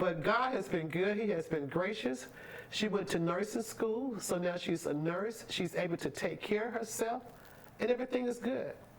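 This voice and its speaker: With lively intonation and a moderate pace, a woman talks over noticeable background noise. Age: 60s. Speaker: pastor and trucking business owner. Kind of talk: talk show interview.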